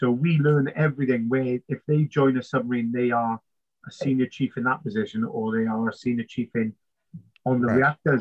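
Speaking at a fairly quick pace in a South Wales Valleys accent, a man keeps fairly even intonation and very even loudness. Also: medium pitch for a man. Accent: Welsh (South Wales valleys). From Wales, South Wales valleys. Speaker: navy submariner and trainer. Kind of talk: interview conversation.

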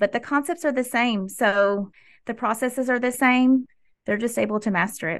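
Against a quiet background, a woman with an American accent talks at a moderate pace and a fairly high pitch. Hers is an unremarkable speaking voice with ordinary pitch variation. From Tennessee, US South (Clarksville). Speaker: school principal. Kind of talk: interview.

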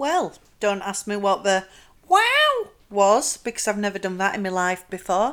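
In a Yorkshire accent, a woman speaks at a fairly slow pace and medium pitch with ordinary variation. Noticeable background noise is present. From South Yorkshire, England. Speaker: podcast host. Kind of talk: casual monologue.

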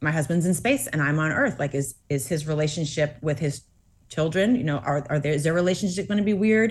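A woman speaks in a somewhat breathy voice with an American accent, her pitch swinging very widely against a quiet background. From Massachusetts. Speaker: author and astronaut's wife. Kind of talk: interview.

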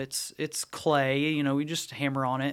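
A man with an East Tennessee accent on a very clean recording with a silent background. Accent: East Tennessee Southern US. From East Tennessee (Knoxville area). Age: 40s. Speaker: youth ministry staff. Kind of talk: casual interview chat. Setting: studio.

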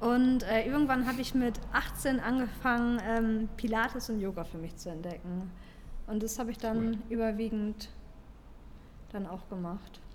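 A woman with a fairly high pitch talks at a fairly slow pace with ordinary pitch variation, and there is audible room echo. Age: 30s. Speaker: fitness podcast co-host, fitness trainer. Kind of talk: casual chat.

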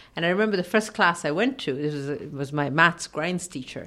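A woman's very deep, low voice in an Irish accent at a fairly quick pace, on a very clean recording with a silent background. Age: 40s. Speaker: radio host. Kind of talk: casual chat.

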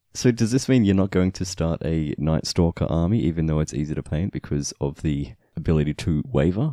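A man with a very deep, low pitch, dark, mellow tone and Australian accent, lively intonation, fairly quick pace and hardly any pauses, over a quiet background. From Australia, Victoria. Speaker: podcast host. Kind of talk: casual chat. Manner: laughs often.

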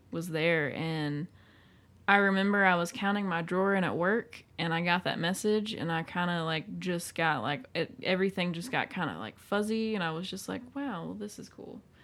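A woman with a plain, everyday voice, fairly low in pitch, with an American accent and lively intonation at a moderate pace, on a very clean recording with a silent background. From small town, US. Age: 20s. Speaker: podcast guest sharing coming-out story. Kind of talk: personal testimony in casual chat.

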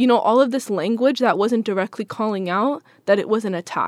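Fairly high-pitched and fairly quick, a woman talks in a plain, everyday voice with ordinary pitch variation, recorded dry and close with no echo. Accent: American. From Seattle, US Pacific Northwest. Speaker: Palestinian-American community member. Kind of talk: interview.

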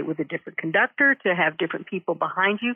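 A woman with an ordinary speaking voice talks at a medium pitch with lively intonation. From Texas (Denton). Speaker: concertmaster violinist. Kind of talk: interview.

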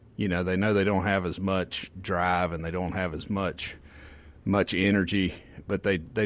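Speaking with a Southern US accent, a man has a very deep, low pitch. He keeps a moderate pace. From Mississippi Delta. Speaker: physician. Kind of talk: radio interview. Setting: studio.

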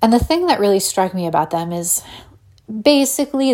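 A dark, mellow tone marks this woman's speech. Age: 30s. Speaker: podcast host and illustrator. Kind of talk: solo podcast monologue. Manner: soft-spoken.

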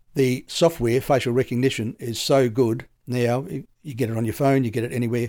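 At a fairly quick pace, a man with an Australian accent speaks at a medium pitch with ordinary pitch variation and a dark, mellow tone. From South Australia. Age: 70s. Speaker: retired police detective. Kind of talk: interview.

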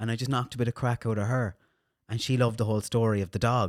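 On a very clean recording with a silent background, a man with a western Irish accent talks at a very fast pace, medium in pitch, with monotone, flat intonation. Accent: Irish, west of Ireland. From Ireland, County Mayo (Castlebar). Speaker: radio DJ and social media manager. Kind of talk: casual chat.

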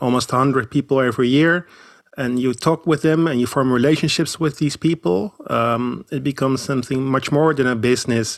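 The voice shows ordinary pitch variation in a very clean recording with a silent background and a dry, close sound with no echo. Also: man. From Netherlands. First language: Dutch. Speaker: pilgrimage guide. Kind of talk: casual interview.

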